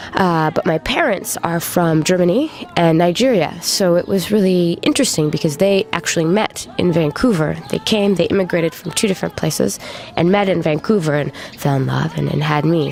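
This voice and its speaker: The speaker talks at a fairly quick pace with a Canadian accent. Noticeable background noise runs underneath. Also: woman. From western Canada (British Columbia). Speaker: singer-songwriter. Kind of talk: interview. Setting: interview in Paris.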